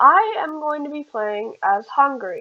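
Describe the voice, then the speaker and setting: This woman talks with a high pitch. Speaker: gaming youtuber. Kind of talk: gameplay commentary. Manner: halting, many fillers.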